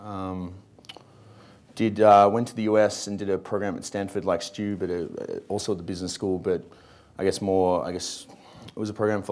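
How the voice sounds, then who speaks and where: A man speaks in a flat monotone with an Australian accent, his pitch fairly low. He talks at a fairly quick pace. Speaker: startup co-founder; panelist. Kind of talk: panel discussion. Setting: stage with audience. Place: hall. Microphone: lapel.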